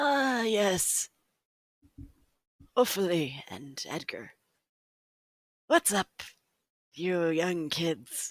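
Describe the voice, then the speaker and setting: Using a put-on character voice at a middle pitch, the speaker goes at a very slow pace with long, frequent pauses in a very clean recording with a silent background. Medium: actual play. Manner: casual, friendly.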